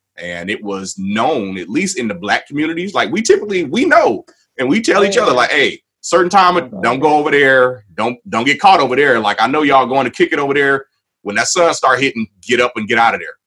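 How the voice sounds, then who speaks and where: Speaking fairly quickly with an American accent, a man uses a fairly high, bright, sharp voice with very wide pitch swings. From Waukegan, Illinois. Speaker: community discussion host. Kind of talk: livestream panel discussion.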